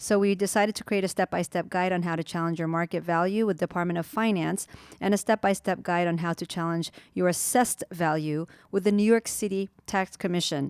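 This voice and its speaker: A woman's plain, everyday voice at a medium pitch, fairly quick and fairly even, in a dry, close sound with no echo. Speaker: real estate agent, co-host. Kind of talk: reading aloud from a blog in a podcast chat.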